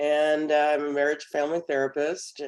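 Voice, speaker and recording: A woman's very deep, low voice at a moderate pace. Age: 70s. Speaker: therapist sharing product experience. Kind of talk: testimony.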